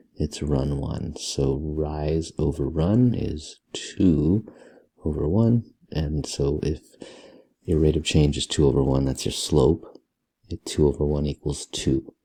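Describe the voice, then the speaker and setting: A soft-spoken man talks at a very slow pace in a very deep, low voice with a dark, mellow tone, vocal fry and ordinary pitch variation. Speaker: math teacher. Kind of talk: tutorial. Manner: soft-spoken, talking low.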